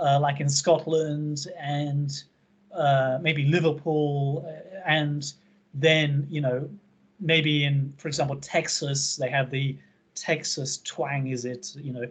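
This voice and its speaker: Very slowly, a man with an American accent speaks in a fairly high, somewhat breathy voice with monotone, flat intonation. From England. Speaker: English teacher. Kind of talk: online class discussion. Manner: halting, many fillers.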